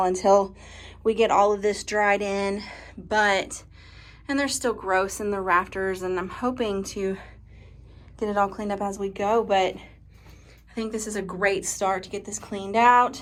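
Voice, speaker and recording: At a moderate pace, a woman speaks at a medium pitch in a monotone, flat intonation. Her loudness swings widely. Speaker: farm vlogger. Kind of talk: casual vlog narration.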